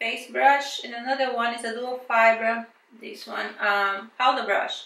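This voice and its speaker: In a strong Brazilian accent, a woman talks very slowly with a fairly high pitch, ordinary pitch variation and a bright, sharp tone, with audible room echo. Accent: thick Brazilian. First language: Portuguese. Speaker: beauty vlogger. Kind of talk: product review unboxing. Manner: casual, hesitant with fillers.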